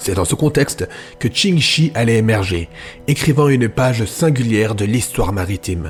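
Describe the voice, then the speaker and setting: A man talks with lively intonation at a moderate pace. Music plays in the background. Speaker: voice actor. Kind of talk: history podcast narration.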